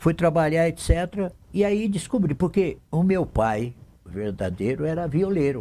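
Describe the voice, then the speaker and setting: A man with a dark, mellow tone and a fairly high pitch speaks at a fairly slow pace, his voice making very wide pitch swings. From Brazil, interior of São Paulo state (Lins). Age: 70s. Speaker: city councillor and radio broadcaster. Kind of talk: interview, life story. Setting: TV studio.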